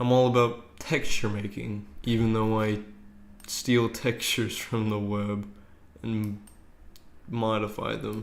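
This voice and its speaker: A man's very slow, flat monotone, broken by long, frequent pauses, with audible room echo. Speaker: game dev streamer. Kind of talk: casual live stream chat. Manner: halting.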